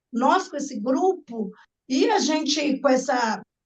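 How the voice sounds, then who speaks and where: This woman's voice is high-pitched. Her intonation is lively. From Brazil, Minas Gerais (Nova Lima). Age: 60s. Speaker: participant in discussion circle. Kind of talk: online group discussion, personal testimony. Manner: halting, with repetitions.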